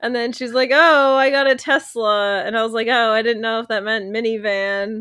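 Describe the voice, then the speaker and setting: A woman with a plain, everyday voice speaks at a fairly high pitch and a moderate pace. Her intonation is fairly even, with hardly any pauses. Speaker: podcast co-host. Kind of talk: casual chat.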